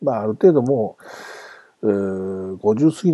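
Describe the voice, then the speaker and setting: A man talks in an ordinary speaking voice at a fairly low pitch. His intonation is lively. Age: 40s. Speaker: sports podcast host. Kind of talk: farewell monologue. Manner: casual with frequent laughs.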